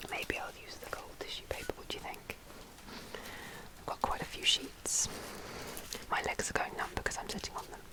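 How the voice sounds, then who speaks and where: Whispering with long, frequent pauses and big swings in loudness, a woman is heard over noticeable background noise. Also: fairly quick pace. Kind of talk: ASMR whispered talk to camera. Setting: budget home mic setup. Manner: whispered, soft-spoken.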